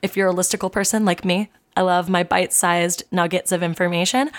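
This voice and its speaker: Recorded very cleanly against a silent background, a woman speaks at medium pitch and a fairly quick pace with a dry, close sound and no echo. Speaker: podcast co-host. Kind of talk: casual comedy podcast chat, reading lore aloud.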